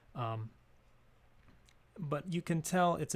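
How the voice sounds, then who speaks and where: The speech moves at a fairly slow pace. The voice is somewhat breathy. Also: man. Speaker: English grammar teacher. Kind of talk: tutorial. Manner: halting.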